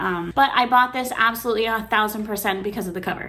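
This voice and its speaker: A woman's fairly high voice at a fairly quick pace, with audible room echo and noticeable background noise. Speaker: booktuber. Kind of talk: casual vlog book haul. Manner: fast; animated.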